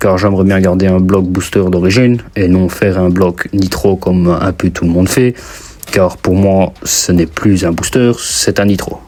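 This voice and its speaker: A man with a very deep, low pitch and a slight Belgian accent talks at a moderate pace in a monotone, flat intonation. His loudness stays very even over noticeable background noise. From Belgium. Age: 20s. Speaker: mechanic and DIY youtuber. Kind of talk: casual vlog talk to camera. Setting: basement workshop. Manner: casual, hesitant with fillers.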